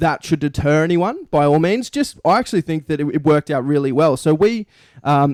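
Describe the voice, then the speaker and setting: A man with an Australian accent, a fairly high pitch and a fairly quick pace in a very clean recording with a silent background. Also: ordinary pitch variation, dry, close sound with no echo. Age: young. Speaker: sports podcast co-host. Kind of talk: casual chat.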